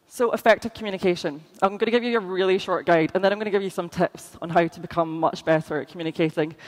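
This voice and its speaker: The speaker has a Scottish accent and talks at a very fast pace. Background noise is noticeable. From Scotland. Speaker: conference speaker. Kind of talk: conference talk.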